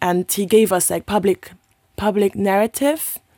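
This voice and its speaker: A woman's medium-pitched voice with a non-native accent, a dark, mellow tone and ordinary pitch variation, on a very clean recording with a silent background and a dry, close sound with no echo. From Luxembourg. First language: not English. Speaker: local councillor and youth activist. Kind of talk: conversational interview. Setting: studio. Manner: animated.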